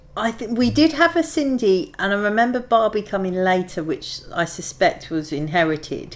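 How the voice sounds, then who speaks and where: A woman with a London accent, a fairly high pitch and very wide pitch swings, at a moderate pace with hardly any pauses. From east London, Hackney and Ilford. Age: 40s. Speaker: oral history interviewee. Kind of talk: casual reminiscing interview.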